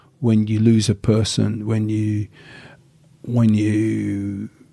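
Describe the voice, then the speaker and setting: A man speaks with an English accent in a dark, mellow tone. The sound is dry and close, with no echo. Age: 60s. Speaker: martial arts instructor. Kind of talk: casual chat.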